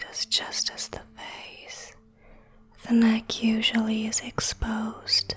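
A woman whispers in a soothing tone, her loudness swinging widely. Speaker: skincare creator. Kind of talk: soft-spoken skincare tutorial. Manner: soft-spoken, slow and soothing.

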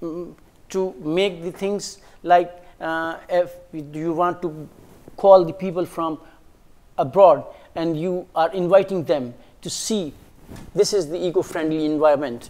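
Pausing long and often, a man talks at a fairly slow pace in a high-pitched voice with a dark, mellow tone. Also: fairly even intonation. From Pakistan. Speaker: language teacher. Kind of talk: studio panel discussion. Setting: studio. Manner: halting, many fillers. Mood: calm, engaged explaining. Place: studio. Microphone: lapel.

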